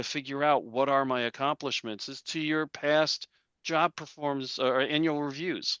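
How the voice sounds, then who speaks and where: A man with a bright, sharp tone and fairly even intonation, in a dry, close sound without echo. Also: quiet background. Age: 60s. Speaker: career coach. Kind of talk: webinar presentation. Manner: conversational.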